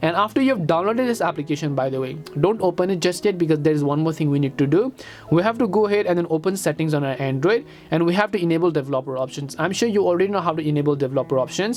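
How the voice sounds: In a Nepali accent, the speaker talks at a very fast pace with few pauses, lively intonation and a slightly mellow tone.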